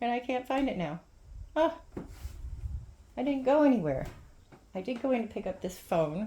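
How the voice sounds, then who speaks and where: A woman speaks in a high pitch with a dark, mellow tone and very wide pitch swings. Her speech has long, frequent pauses. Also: moderate pace. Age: 60s. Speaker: vlogger. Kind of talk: casual vlog, DIY show-and-tell. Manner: rambling, halting with fillers.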